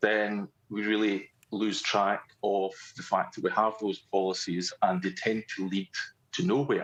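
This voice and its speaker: A man at a fairly low pitch and fairly slow pace, with a quiet background. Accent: Scottish. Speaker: police sergeant. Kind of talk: panel talk.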